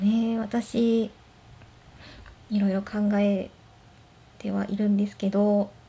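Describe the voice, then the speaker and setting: A woman's medium-pitched voice in a relaxed, gentle tone, very slow and flat in a monotone, with long, frequent pauses. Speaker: blind office worker. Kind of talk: casual talk to camera. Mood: gentle, smiling, relaxed. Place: home room. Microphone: phone near.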